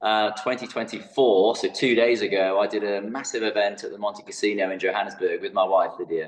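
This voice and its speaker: A man with a British accent and fairly low pitch, fairly quick with hardly any pauses, fairly even in intonation, over noticeable background noise. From England. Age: 50s. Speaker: fitness educator. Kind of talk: podcast interview.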